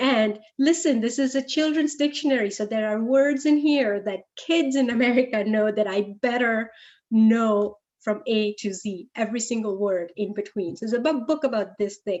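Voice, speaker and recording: A woman's fairly high voice with a Gujarati accent. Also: ordinary pitch variation, moderate pace. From India, Gujarat (Ahmedabad). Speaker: guest speaker, computer science professional. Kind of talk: talk to an audience. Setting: interactive session with audience.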